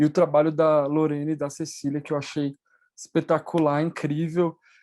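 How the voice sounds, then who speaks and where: A quiet background surrounds words delivered at a moderate pace. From Latin America. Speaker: conference panelist. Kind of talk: academic panel discussion. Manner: halting, many fillers.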